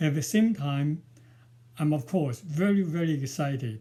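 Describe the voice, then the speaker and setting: A man speaks very slowly with a strong Chinese accent, his pitch fairly high and his intonation lively. His tone is dark and mellow, and somewhat breathy. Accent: Chinese, strong village. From rural China. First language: Mandarin. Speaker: novelist and poet. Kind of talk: prepared talk to camera. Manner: halting, many fillers.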